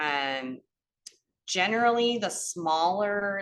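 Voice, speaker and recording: A woman at a very slow pace, with a strong Cleveland accent and a bright, sharp tone. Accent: northern US, Cleveland accent, still strong. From US Midwest, Cleveland. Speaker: gardening educator. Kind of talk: lecture.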